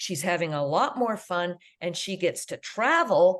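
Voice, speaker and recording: Lively intonation marks a woman's speech at a fairly slow pace. She has a plain, everyday voice. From Canada. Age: 60s. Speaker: international school teacher. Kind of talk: interview conversation.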